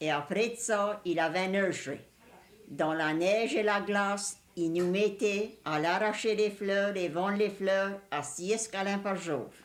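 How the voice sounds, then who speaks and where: A woman speaks in a Cajun accent at a very slow pace and a medium pitch. Her loudness stays very even, with ordinary pitch variation. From Louisiana, Cajun country. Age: 60s. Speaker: elderly Cajun woman interviewee. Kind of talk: reminiscing interview.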